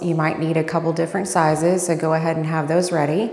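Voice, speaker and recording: A woman speaks at a fairly low pitch with monotone, flat intonation. Audible room echo is present. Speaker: fitness instructor. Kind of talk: workout tutorial intro. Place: home room. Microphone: lapel.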